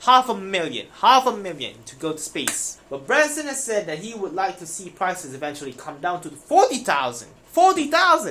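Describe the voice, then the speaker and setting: The speaker goes on with hardly any pauses over noticeable background noise. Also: moderate pace. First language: not English. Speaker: finance news YouTuber. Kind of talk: reading news aloud with commentary. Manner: casual, self-interrupting.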